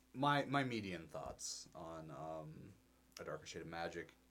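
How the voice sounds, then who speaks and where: The speaker is a man. His pitch rises and falls over a very wide range. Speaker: podcast co-host. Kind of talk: casual chat. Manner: rambling, hesitant, laughs often.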